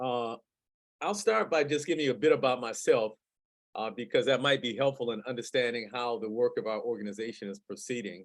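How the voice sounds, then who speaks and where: Using a plain, everyday voice, a man with an American accent talks at a fairly quick pace, medium in pitch with ordinary pitch variation. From US Midwest, Detroit. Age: 60s. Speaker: community food activist and nonprofit director. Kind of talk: webinar presentation. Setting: video call.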